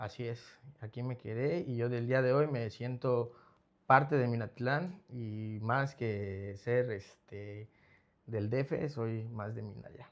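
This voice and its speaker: Against a quiet background, a man with a Mexico City accent speaks at a very slow pace, medium in pitch, with ordinary pitch variation. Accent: Mexico City accent, persistent. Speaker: rehab center founder. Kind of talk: interview testimony. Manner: halting.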